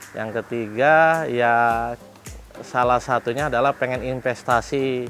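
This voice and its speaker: Music in the background behind a man of medium pitch at a very slow pace. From Jakarta (Betawi). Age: 30s. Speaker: livestock farmer. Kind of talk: interview monologue. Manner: halting with fillers.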